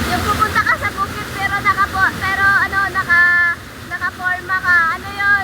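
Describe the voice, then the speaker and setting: A woman's raised, projected voice at an extremely high pitch, with monotone, flat intonation and noticeable background noise. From rural Philippines. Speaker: vlogger. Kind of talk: casual vlog. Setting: outdoors by a river. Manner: loud.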